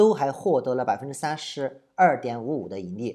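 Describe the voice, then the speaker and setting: Someone with a southern Chinese accent is heard on a very clean recording with a silent background. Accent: southern Chinese accent in Mandarin. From southern China. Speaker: trading analyst and online educator. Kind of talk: commentary on viewer comments. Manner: halting, many fillers.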